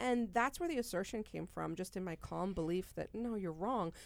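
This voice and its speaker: A woman at a fairly quick pace, a plain, everyday voice. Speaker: podcast host and business executive. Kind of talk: casual chat podcast.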